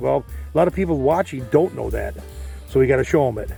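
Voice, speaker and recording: Music plays behind a man who talks very fast. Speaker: DIY repair video host. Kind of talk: instructional talk while repairing. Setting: outdoors.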